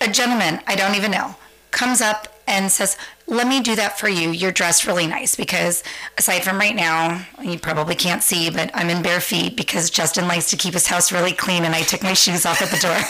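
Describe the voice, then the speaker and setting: Through noticeable background noise, a woman with a Californian accent speaks at a medium pitch with ordinary pitch variation and very even loudness. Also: fairly quick pace. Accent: General American (Californian). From US West Coast, San Francisco. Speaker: podcast guest. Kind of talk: casual chat.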